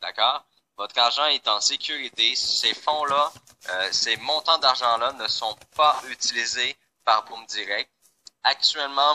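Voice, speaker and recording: A man with a Quebec accent speaks at a very slow pace, in a dry, close sound with no echo. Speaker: company founder presenting to members. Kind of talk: online presentation. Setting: live online call. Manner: hesitant, many fillers.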